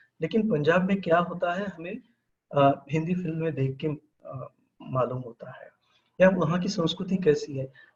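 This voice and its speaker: A man's high voice with ordinary pitch variation. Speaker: professor of mass communication. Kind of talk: webinar lecture. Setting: online webinar. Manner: halting, with many fillers.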